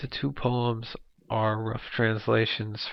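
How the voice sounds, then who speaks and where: Using fairly even intonation, a man at medium pitch talks at a fairly slow pace with an American accent. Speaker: poet and former teacher. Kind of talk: spoken commentary introducing poems. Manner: halting, many fillers.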